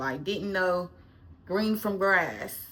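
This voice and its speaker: A woman's medium-pitched voice at a fairly slow pace with ordinary pitch variation. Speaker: lifestyle vlogger. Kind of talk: casual chat. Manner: halting.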